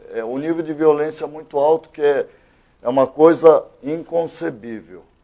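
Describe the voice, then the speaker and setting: A fairly high-pitched male voice, dark and mellow in tone, with fairly even intonation. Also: moderate pace, big swings in loudness. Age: 60s. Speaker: retired police colonel, elected state deputy. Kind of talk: interview.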